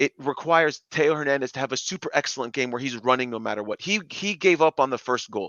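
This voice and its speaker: An animated, fairly high-pitched man at a very fast pace, hardly any pauses, ordinary pitch variation. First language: not English. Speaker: football channel host. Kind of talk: casual chat.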